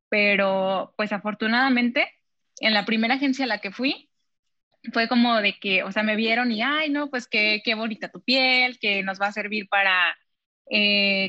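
At a moderate pace and fairly high pitch, a woman with a bright, sharp tone and ordinary pitch variation is recorded with a dry, close sound and no echo. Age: 20s. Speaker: model. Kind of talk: interview.

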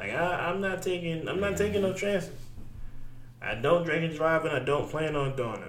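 Someone speaks at a moderate pace with ordinary pitch variation, with audible room echo and noticeable background noise around the voice. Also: man, high pitch for a man. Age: 20s. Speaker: podcast co-host. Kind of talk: casual chat.

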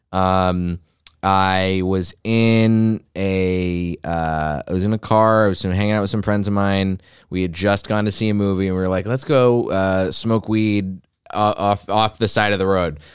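In a very clean recording with a silent background, a man with a normal speaking voice talks fairly slowly at a fairly low pitch. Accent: American. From US South, Texas. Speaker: comedian. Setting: studio.

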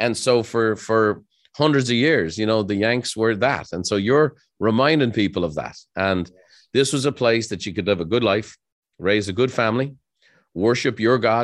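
The speaker has an Irish accent and ordinary pitch variation. The pace is moderate. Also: man, medium pitch for a man. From Ireland. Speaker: entrepreneur and author. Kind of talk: interview conversation.

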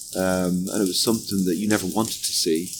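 In a Limerick accent, a man speaks at a fairly quick pace with a very deep, low pitch and fairly even intonation. Noticeable background noise is present. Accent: Irish (Limerick). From Ireland, Limerick. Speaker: football association executive. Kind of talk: interview.

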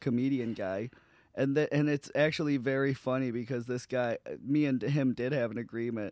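A man at medium pitch, animated in tone, with ordinary pitch variation and a fairly quick pace, on a very clean recording with a silent background. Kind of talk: casual banter comedy podcast. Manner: joking, profane, animated.

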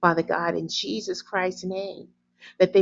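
Vocal fry marks this woman's voice, which has an American accent. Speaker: prayer leader. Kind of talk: fervent prayer. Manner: repetitive, earnest, imploring; halting when stumbling over words.

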